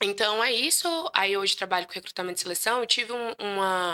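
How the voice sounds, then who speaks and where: Bright and sharp in tone, a woman talks at a fairly quick pace with fairly even intonation. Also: very clean recording, silent background. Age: 20s. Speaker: recruitment professional. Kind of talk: podcast interview. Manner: talkative.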